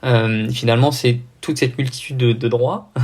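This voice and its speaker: Somewhat breathy, a man speaks fairly slowly at a medium pitch with fairly even intonation. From southern France. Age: 20s. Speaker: triathlete and anti-doping official. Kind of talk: podcast interview. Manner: hesitant, many fillers.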